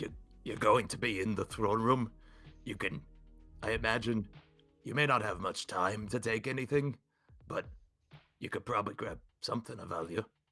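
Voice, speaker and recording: Hoarse and raspy, a put-on character voice moves at a moderate pace with long, frequent pauses while faint music plays in the background. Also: man, medium pitch for a man. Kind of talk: casual, tabletop game talk.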